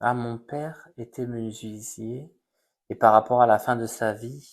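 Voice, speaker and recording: The speech moves at a very slow pace with fairly even intonation. Its loudness swings widely. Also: man, medium pitch for a man. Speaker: psychic medium. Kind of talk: live stream reading. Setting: live stream on social media.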